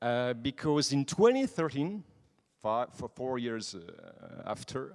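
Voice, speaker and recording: Heard on a very clean recording with a silent background, a man with a French accent speaks at a fairly high pitch and a very slow pace. His intonation is lively, and the sound is dry and close with no echo. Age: 20s. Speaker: nightlife association president. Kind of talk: conference talk. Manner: halting; animated.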